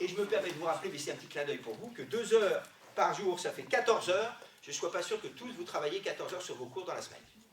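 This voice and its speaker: Over noticeable background noise and audible room echo, a man talks fairly quickly in a high voice with lively intonation. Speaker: sports doctor. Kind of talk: lecture. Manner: fast; loud.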